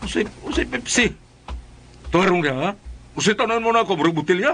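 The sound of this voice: Using a put-on character voice, a man speaks at a fairly quick pace in a high pitch, with a fairly bright tone and lively intonation.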